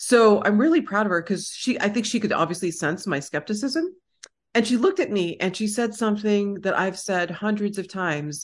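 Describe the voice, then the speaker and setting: A woman with an American accent uses a plain, everyday voice at a medium pitch. She talks at a fairly quick pace with lively intonation. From Texas. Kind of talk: casual conversational interview.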